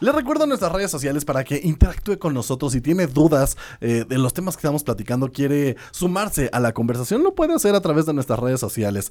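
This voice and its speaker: The man speaks at a fairly quick pace with a fairly high pitch. His recording is very clean, with a silent background. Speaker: radio host. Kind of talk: casual radio chat. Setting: radio studio. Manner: animated.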